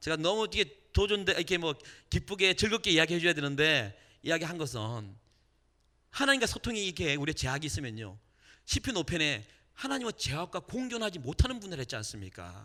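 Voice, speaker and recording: Against a very clean, silent background, a man talks at a fairly quick pace with a fairly high pitch and a bright, sharp tone. His animated tone moves through very wide pitch swings, touched with vocal fry. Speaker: evangelist and worship leader, radio host. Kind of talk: testimony and sermon. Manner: animated, engages audience.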